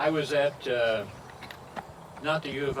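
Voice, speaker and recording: A voice with an American accent comes through with audible room echo and noticeable background noise. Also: man. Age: 80s+. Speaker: historian. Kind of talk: public speech. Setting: outdoors at a cemetery commemoration.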